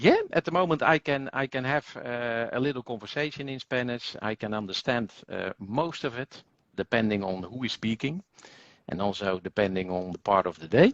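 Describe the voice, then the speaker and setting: Speaking at a moderate pace and medium pitch, a man uses lively intonation, recorded in a dry, close sound with no echo over a quiet background. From Netherlands. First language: Dutch. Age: 50s. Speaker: language school executive. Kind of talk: interview. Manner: hesitant, many fillers.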